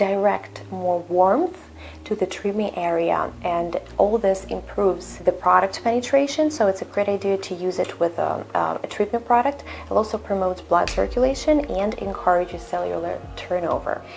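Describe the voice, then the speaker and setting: A woman speaks with a Russian accent at a moderate pace with hardly any pauses. Noticeable background noise runs behind her. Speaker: skincare instructor. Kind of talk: tutorial. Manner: halting.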